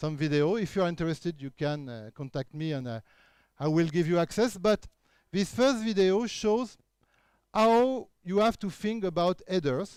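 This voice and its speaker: Recorded very cleanly over a silent background, a man with a French accent talks at a moderate pace in a high pitch with lively intonation. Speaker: keynote speaker, researcher. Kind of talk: conference talk. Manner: halting with frequent fillers.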